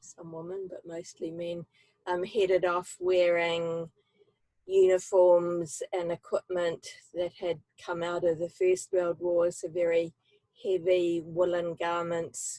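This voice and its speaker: Speaking very slowly in a New Zealand accent, the voice has a dark, mellow tone and flat, monotone intonation, with big swings in loudness. The recording is dry and close, with no echo. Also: woman. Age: 70s. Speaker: human library storyteller. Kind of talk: personal testimony. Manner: halting, many fillers.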